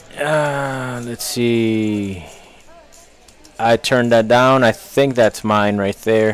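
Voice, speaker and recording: A man at medium pitch, very slow, with fairly even intonation and long, frequent pauses, over noticeable background noise. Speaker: poker stream commentator. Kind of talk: live commentary.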